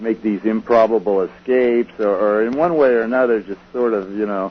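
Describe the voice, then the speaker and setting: This man has a medium pitch and ordinary pitch variation. He speaks at a fairly quick pace. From Southern California. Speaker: author, researcher. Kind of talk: radio interview. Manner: hesitant, many repetitions and fillers.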